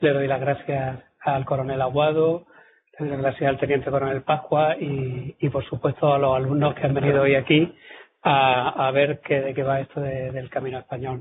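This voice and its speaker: A man speaks in a Córdoba Andalusian accent. His pace is moderate and his intonation monotone and flat. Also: fairly high pitch for a man. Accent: southern Córdoba (Andalusian) Spanish. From southern Córdoba, Andalusia, Spain. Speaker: military historian, lecturer. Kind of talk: lecture. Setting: lecture hall with audience. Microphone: poor-quality audio recording, cleaned up.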